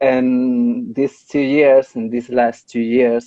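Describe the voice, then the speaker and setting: A man with a Spanish accent at a very slow pace, medium in pitch, with fairly even intonation. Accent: Spanish accent, non-native English. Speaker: podcast host. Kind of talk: casual interview. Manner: halting, searching for words.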